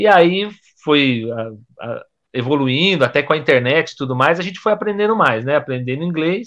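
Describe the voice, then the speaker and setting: A man's plain, everyday voice, with lively intonation at a moderate pace. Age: 40s. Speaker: guitarist and dentist. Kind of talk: casual chat.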